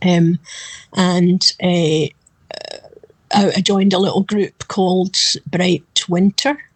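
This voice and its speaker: In a Glasgow accent, a woman of medium pitch speaks at a very slow pace with long, frequent pauses and fairly even intonation, recorded in a dry, close sound with no echo. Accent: Scottish (Glasgow area). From Scotland, west coast near Glasgow. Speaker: backup singer. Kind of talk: interview.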